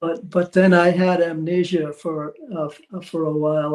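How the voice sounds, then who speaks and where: Delivered at a moderate pace, the speech stays in a flat monotone. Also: man. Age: 80s+. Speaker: author and spiritual teacher. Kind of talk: interview conversation. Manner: halting, many fillers.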